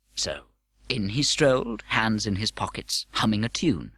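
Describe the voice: A man's fairly bright, slightly husky voice, fairly slow, with big pitch swings. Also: fairly low pitch for a man.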